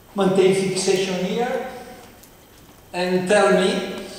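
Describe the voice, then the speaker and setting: Speaking very slowly with fairly even intonation, a man with a high voice is heard through strong room echo and light background noise. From Italy. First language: Italian. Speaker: professor. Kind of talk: lecture. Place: hall.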